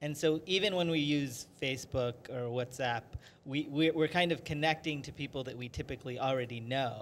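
There is light background noise as a man talks at a fairly slow pace in a normal speaking voice. His pitch is fairly high, with ordinary variation. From US (Maryland), Indian family. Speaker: writer and filmmaker, film professor; film professor. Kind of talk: interview. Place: studio. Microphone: handheld.

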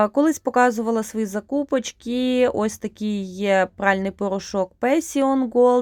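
In a very clean recording with a silent background and a dry, close sound with no echo, a woman uses a normal speaking voice at a fairly slow pace, fairly high in pitch with lively intonation. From Ukraine, Rivne region. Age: 30s. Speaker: vlogger, mother of four. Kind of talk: casual vlog narration.

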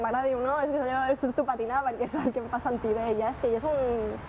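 A woman talks at a very fast pace and a high pitch with hardly any pauses. Her intonation is monotone and flat, with light background noise. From Catalonia, Barcelona. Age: young. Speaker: student and longboarder. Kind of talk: interview answers. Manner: casual, slangy.

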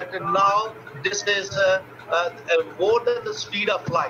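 A man talks at a fairly slow pace and a high pitch, with noticeable background noise around him. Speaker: dental radiology professor. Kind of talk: lecture. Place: home room. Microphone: webcam.

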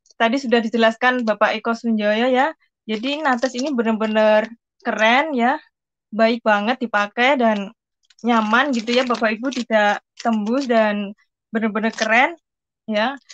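Over light background noise, a woman speaks at a moderate pace with a fairly high pitch and fairly even intonation. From Central Java, Indonesia (Pati); Central Java. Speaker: migrant domestic worker. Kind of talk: product testimony. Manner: hesitant, filler-heavy. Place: home room. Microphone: video call.

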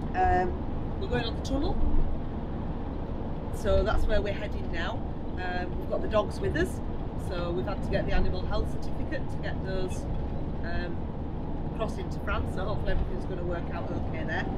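A woman talks at a fairly quick pace. Loud noise fills the background. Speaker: travel vlogger. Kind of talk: casual vlog chat. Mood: cheerful, excited. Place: car. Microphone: camera far.

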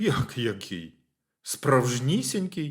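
A man puts on a character voice. His pitch sits at a medium level. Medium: read story.

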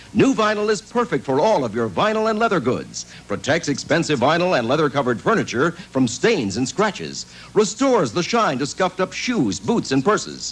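A man at a fairly quick pace, with very wide pitch swings and music in the background. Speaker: commercial announcer. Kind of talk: advertising voice-over.

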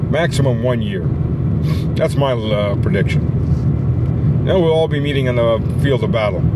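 A man's voice sounds dry, with no echo, over loud background noise. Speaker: political commentator. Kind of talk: casual vlog commentary. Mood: stern, warning tone. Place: car. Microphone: phone near.

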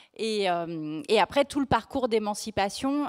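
The setting behind her is quiet. This woman's intonation is lively. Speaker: journalist and author; journalist. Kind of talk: live book talk. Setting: bookfair stage, livestreamed. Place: stage. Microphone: handheld.

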